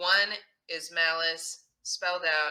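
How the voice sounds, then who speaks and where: This woman speaks with a slight Texas accent and a fairly low pitch. Her tone is bright and sharp. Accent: slight Texas accent, barely noticeable. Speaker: true crime podcast host and actor. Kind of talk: casual interview chat. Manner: animated.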